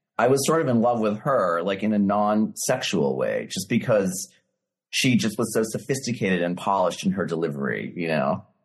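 With an American accent, a man of fairly low pitch talks at a moderate pace, his lively intonation touched by vocal fry. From Massachusetts, US. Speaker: novelist. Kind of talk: casual interview chat. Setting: video call.

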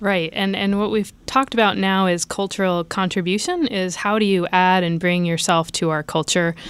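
Using an unremarkable speaking voice, a woman talks at a moderate pace and medium pitch with hardly any pauses and fairly even intonation. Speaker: HR team member. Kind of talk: casual interview. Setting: studio.

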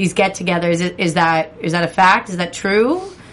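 With an American accent, a woman talks with ordinary pitch variation. Noticeable background noise is present. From New Jersey. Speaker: aftershow podcast co-host. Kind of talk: casual chat.

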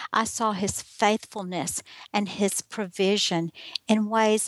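A woman with a Southern US accent speaks in a fairly high pitch with fairly even intonation, the sound dry and close with no echo against a quiet background. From US South. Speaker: life coach and writer. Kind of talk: interview testimony.

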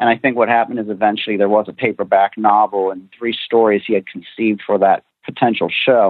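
At a fairly quick pace, a man with a fairly low pitch uses fairly even intonation in an unremarkable speaking voice. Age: young. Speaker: author and TV historian. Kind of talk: interview answers.

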